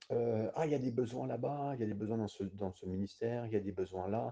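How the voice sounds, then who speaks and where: A man at a medium pitch with a dark, mellow tone, somewhat breathy, at a fairly quick pace. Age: 50s. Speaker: pastor / bible teacher. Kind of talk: bible study sermon. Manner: halting, with frequent hesitations.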